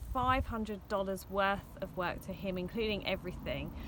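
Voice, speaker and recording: Here a woman talks in an English accent. She keeps a moderate pace and ordinary pitch variation. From England, Hertfordshire (Hitchin). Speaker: vlogger, van traveller. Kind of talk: casual vlog talk to camera. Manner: hesitant fillers (um).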